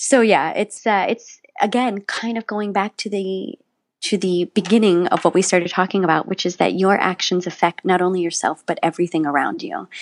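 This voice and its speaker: A woman with an ordinary speaking voice, ordinary pitch variation and hardly any pauses, in a dry, close sound with no echo. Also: medium pitch for a woman, moderate pace. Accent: American. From West Virginia. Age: 40s. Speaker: musical theater actor. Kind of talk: interview conversation.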